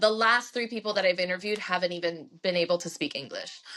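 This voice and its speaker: With fairly even intonation, a woman speaks in a bright, sharp tone. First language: Spanish. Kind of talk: podcast interview. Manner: casual, many filler ums.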